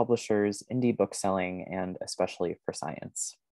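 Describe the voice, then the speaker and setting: A man speaks at a moderate pace in an ordinary speaking voice, fairly low in pitch with fairly even intonation, in a dry sound with no echo over a quiet background. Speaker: event moderator. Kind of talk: scripted introduction. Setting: video call. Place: home room. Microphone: earbuds.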